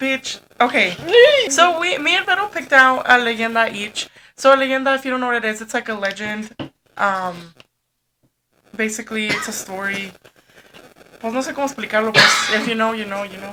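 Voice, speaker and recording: Lively intonation, a bright, sharp tone, a fairly quick pace, and long, frequent pauses. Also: woman, fairly high pitch for a woman. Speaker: podcast co-host. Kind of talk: casual chat.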